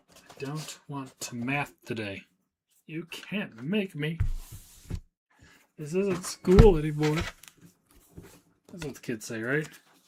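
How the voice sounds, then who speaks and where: A man with fairly high pitch mumbles at a very slow pace, with long, frequent pauses and big swings in loudness. His voice is somewhat breathy, and his intonation is lively. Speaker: trading card seller and streamer. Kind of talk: live stream chat while working. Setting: live stream. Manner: mumbling to himself.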